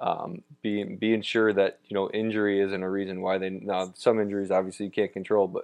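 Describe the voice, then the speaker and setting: A man speaks in a flat monotone at a fairly quick pace, his pitch fairly low. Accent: Midwestern American. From Ohio, Toledo area. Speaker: former pro baseball pitcher, college pitching coach. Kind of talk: interview.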